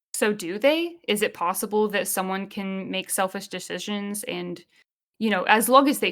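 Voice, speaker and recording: With an unremarkable speaking voice, a woman talks at a moderate pace, medium pitch and ordinary pitch variation in a very clean recording with a silent background. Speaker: podcast co-host. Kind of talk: casual chat.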